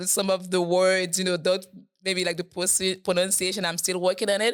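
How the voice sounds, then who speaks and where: A woman speaks with a Haitian accent at a medium pitch. Her pace is very fast. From Haiti, Port-au-Prince. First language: Haitian Creole. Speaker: program staff, interview guest. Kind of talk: podcast interview. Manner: halting, with many fillers.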